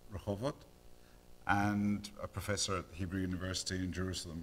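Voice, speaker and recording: A man with a Scottish accent speaks at a fairly quick pace in a fairly low pitch. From Scotland. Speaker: neonatologist and professor. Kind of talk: lecture. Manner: hesitant, many fillers.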